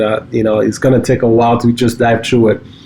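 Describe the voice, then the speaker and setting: A man speaks with a French accent. His intonation is monotone and flat. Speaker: cybersecurity company co-founder. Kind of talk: casual podcast chat. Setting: home basement studio.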